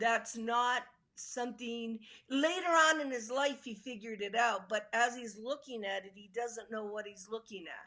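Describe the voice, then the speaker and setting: A woman speaks at a moderate pace with a fairly high pitch and ordinary pitch variation. Her tone is bright and sharp, and her loudness swings widely. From Italy. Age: 70s. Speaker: UFO researcher and author. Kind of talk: interview. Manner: halting.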